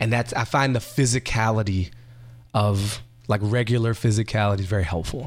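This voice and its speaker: At a moderate pace, a man talks in an ordinary speaking voice with fairly even intonation. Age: 30s. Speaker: writer and comedian. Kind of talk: casual chat.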